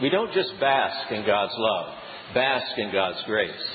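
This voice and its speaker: Over noticeable background noise and audible room echo, a man speaks fairly slowly with very wide pitch swings. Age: 60s. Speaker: preacher. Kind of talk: sermon. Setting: church.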